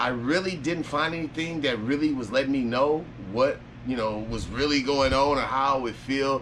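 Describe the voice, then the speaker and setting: Over noticeable background noise and audible room echo, a man with a fairly high pitch talks at a moderate pace with ordinary pitch variation. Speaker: vlogger documenting surgery recovery. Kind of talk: casual vlog. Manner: casual, rambling with fillers.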